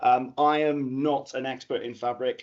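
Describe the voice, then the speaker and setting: The speaker is a man. He talks with a Bristol accent. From England, Bristol. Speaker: data analytics consultant. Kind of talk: conference talk.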